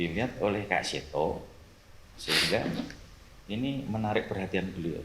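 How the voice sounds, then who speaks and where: Speaking at a moderate pace, a man uses a fairly low pitch with ordinary variation. He has a strong Javanese accent. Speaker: police officer. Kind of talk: casual chat.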